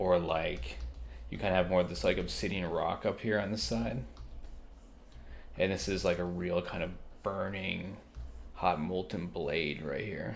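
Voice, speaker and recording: With vocal fry and a very deep, low pitch, a man speaks at a fairly slow pace with lively intonation and long, frequent pauses, and room echo is audible. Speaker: digital artist. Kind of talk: drawing tutorial. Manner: soft-spoken; casual.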